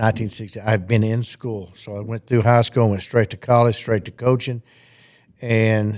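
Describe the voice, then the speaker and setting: In a Southern US accent, a man speaks at a moderate pace with a medium pitch and flat, monotone intonation. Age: 60s. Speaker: retiring high school football coach. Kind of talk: casual interview.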